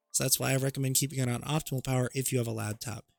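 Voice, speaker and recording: Fairly even intonation runs over music playing in the background. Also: man. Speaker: gaming tech tutorial creator. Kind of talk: tutorial. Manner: casual, conversational.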